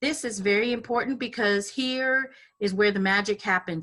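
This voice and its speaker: At a moderate pace, a woman's medium-pitched voice has a bright, sharp tone and ordinary pitch variation. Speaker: transit agency small business outreach staff. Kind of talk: webinar presentation.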